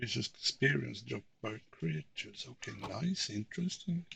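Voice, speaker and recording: Vocal fry marks a man's speech at a fairly slow pace. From Sweden. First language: Swedish. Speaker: video game streamer. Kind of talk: casual gaming commentary. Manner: pauses to find words.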